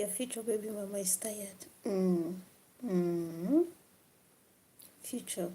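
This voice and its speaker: Quiet and somewhat breathy, a woman speaks very slowly at a medium pitch with ordinary pitch variation and long, frequent pauses. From Africa. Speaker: livestreamer. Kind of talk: live stream chat with viewers. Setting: late-night live stream. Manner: quiet, low volume.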